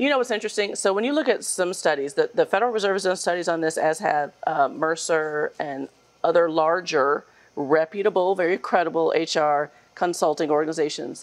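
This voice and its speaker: This woman has an unremarkable speaking voice, pitched fairly low. She talks fairly quickly with lively intonation. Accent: American. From Hampton, Virginia (US South). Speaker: equity consultancy CEO. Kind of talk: interview.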